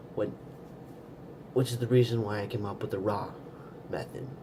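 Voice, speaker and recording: At a moderate pace and medium pitch, a man speaks with ordinary pitch variation and audible room echo. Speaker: video blogger teaching a stutter technique. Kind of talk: casual tutorial monologue. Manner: hesitant, with fillers and repeats.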